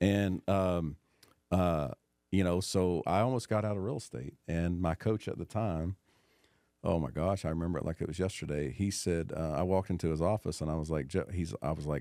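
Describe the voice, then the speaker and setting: With a Tennessee accent, a man speaks at a moderate pace in a very deep, low pitch with ordinary pitch variation. His tone is dark and mellow, and the recording is very clean with a silent background. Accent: Southern US (Tennessee). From US South, Knoxville, Tennessee. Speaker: real estate professional, former college football player. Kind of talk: casual chat.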